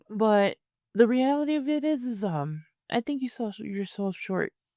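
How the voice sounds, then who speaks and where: Using a put-on character voice, a woman mumbles at a moderate pace with a fairly high pitch and very wide pitch swings. The sound is dry and close, with no echo. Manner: mumbling.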